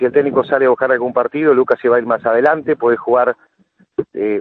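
A man talks in a normal speaking voice, medium in pitch, with fairly even intonation. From Uruguay. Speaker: father of a footballer, club president, former match commentator. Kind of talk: interview.

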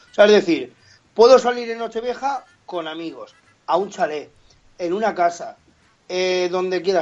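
Ordinary pitch variation in a man's voice set high. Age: 30s. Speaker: comedian and impressionist. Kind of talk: casual chat.

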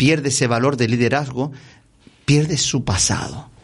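At a moderate pace, a man speaks in a medium pitch, sounding somewhat breathy. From Canary Islands, Gran Canaria. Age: 60s. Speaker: former basketball referee and professor. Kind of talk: interview.

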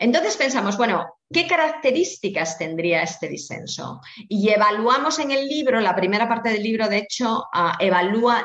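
Over noticeable background noise, a woman at medium pitch speaks at a fairly slow pace, her pitch swinging very widely. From Spain, Asturias. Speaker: bioethics professor. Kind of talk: interview. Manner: halting with frequent repetitions.

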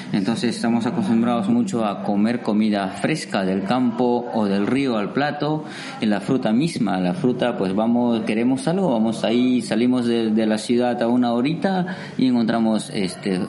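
A man at medium pitch with lively intonation and very even loudness, amid audible room echo and noticeable background noise. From Peru, Amazon region (Iquitos). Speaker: waiter. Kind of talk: interview.

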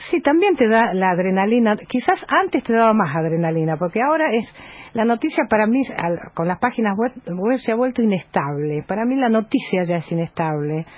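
A woman talks at a fairly quick pace with a fairly high pitch. Her voice is somewhat breathy and swings very widely in pitch. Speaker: journalist and news agency editor. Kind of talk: radio interview.

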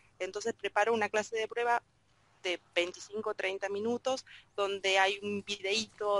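A woman with a Rioplatense accent speaks with ordinary pitch variation in a dry, close sound with no echo. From Argentina. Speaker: Spanish and French teacher. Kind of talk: group discussion. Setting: video conference.

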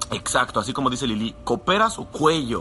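An animated man of medium pitch, fairly quick in pace, with lively intonation amid noticeable background noise. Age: 20s. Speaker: network marketing sales leader. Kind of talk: motivational live talk.

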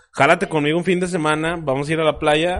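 Talking at a very fast pace, a man is heard over noticeable background noise. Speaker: podcast co-host. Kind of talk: casual chat. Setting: studio.

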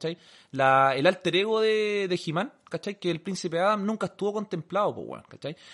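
Against a quiet background, a man with a Chilean accent talks at a moderate pace in a high voice with ordinary pitch variation. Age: 30s. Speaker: podcast co-host. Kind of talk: casual chat.

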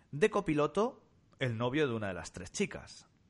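Vocal fry runs through this man's voice as he talks at a fairly slow pace. His pitch swings very widely. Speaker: podcast co-host. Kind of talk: casual chat.

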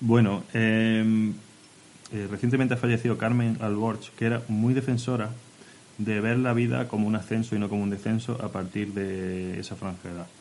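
At a moderate pace, a man talks with a medium pitch and monotone, flat intonation. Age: 20s-30s. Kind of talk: casual chat.

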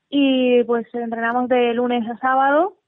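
A woman speaks fairly slowly in a fairly high pitch with monotone, flat intonation. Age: 30s. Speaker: paralympic weightlifter. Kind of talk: radio interview. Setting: live radio.

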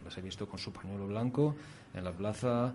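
A man is speaking. His pace is fairly quick. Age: 40s. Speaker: radio host. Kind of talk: radio talk show. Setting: studio.

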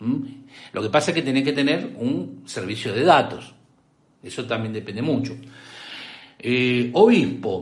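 In a Rioplatense accent, a man speaks at a fairly slow pace with very wide pitch swings and a somewhat breathy voice, amid audible room echo. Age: 50s. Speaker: tech livestream host. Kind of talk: casual chat.

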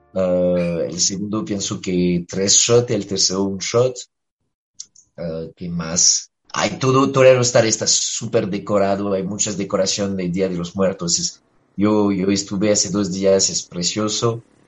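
Fairly low male voice with a French accent, fairly even intonation and a fairly slow pace. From France. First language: French (speaking Spanish). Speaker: musician. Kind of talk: radio interview. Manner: halting.

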